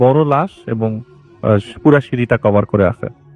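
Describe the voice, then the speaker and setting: Music in the background and a dry, close sound with no echo. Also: man. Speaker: radio horror show host reading listener emails. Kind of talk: Bangla horror story narration. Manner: conversational storytelling, paraphrasing listener's account.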